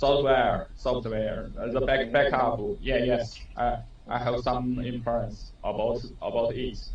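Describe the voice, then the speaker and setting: A man talks at a very slow pace. Audible room echo and noticeable background noise surround him. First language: Chinese. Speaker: engineer. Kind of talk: self-introduction in training. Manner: halting.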